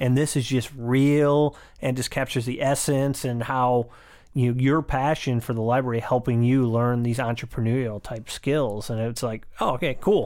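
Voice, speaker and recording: Using a plain, everyday voice, a man speaks at a medium pitch and moderate pace with fairly even intonation, on a very clean recording with a silent background. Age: 40s. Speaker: podcast host and commercial director. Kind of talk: casual interview chat.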